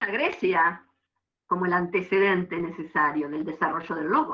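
A woman talks at a moderate pace in an ordinary speaking voice. Her pitch variation is ordinary. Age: 50s. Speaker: university history lecturer. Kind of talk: lecture.

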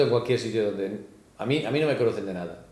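A man speaks with lively intonation, and some room echo can be heard. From Spain, raised in Australia from age 10. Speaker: comedian. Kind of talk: casual interview chat.

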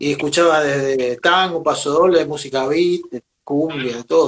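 In an ordinary speaking voice, a man talks fairly slowly at a fairly high pitch with fairly even intonation. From Argentina, Venado Tuerto, southern Santa Fe. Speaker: drummer and percussionist. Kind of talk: interview.

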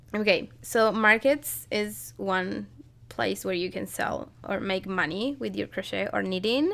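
In a very clean recording with a silent background, a woman speaks with a Spanish accent. Her pace is fairly slow. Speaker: podcast co-host and crochet and knitting designer. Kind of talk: casual chat.

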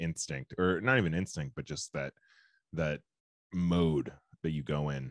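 A man talks with a very deep, low pitch and long, frequent pauses. The sound is dry and close, with no echo. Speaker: podcast host. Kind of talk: casual banter. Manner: halting, joking.

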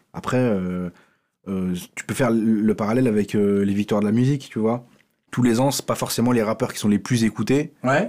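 A man talks in a dark, mellow tone at a medium pitch. The recording is very clean, with a silent background. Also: ordinary pitch variation, moderate pace. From France, Paris. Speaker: comedy writer. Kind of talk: casual chat.

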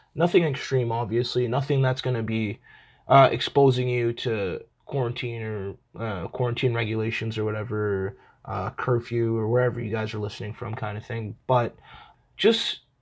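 Raspy male voice at medium pitch, moderate pace and fairly even intonation.

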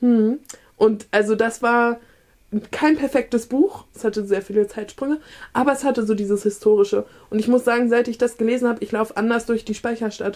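A woman speaks with a fairly high pitch and a dark, mellow tone. Her intonation stays fairly even. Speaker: book podcast co-host. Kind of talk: casual chat.

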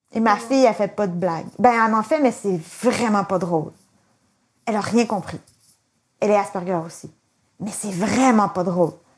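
A woman speaks with a Quebec accent at a moderate pace. Her fairly high voice has lively intonation. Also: long, frequent pauses. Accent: Québécois French. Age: 40s. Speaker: interviewee with Asperger syndrome. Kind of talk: interview.

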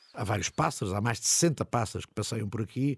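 A man with a plain, everyday voice speaks at a moderate pace with medium pitch and ordinary pitch variation. The very clean recording has a silent background and a dry, close sound with no echo. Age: 60s. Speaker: podcast host and city guide. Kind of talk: narrated walking tour.

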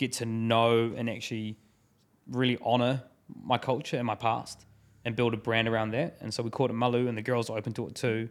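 On a very clean recording with a silent background, a man with a New Zealand accent and medium pitch talks at a very fast pace in a monotone, flat intonation. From New Zealand (Taranaki, Christchurch). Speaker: business founder. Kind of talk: casual chat. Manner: casual, filler-heavy.

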